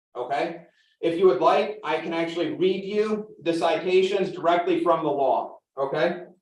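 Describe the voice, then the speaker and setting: Audible room echo surrounds a man with a high pitch. He speaks at a moderate pace with fairly even intonation. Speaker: farmer and resident speaking at public comment. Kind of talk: public meeting comment. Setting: village council meeting. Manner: loud.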